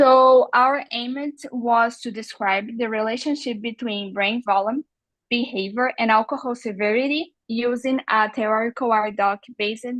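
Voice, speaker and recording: At a fairly slow pace, a woman with a Brazilian Portuguese accent talks in a fairly high pitch with fairly even intonation against a quiet background. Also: dry, close sound with no echo. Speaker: neuroscience researcher. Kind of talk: research presentation. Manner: halting.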